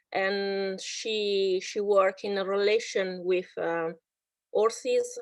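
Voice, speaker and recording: A woman with an Italian accent speaks at a very slow pace. Her voice sits at a fairly high pitch. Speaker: psychologist and horse therapist. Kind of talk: online workshop presentation. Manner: halting.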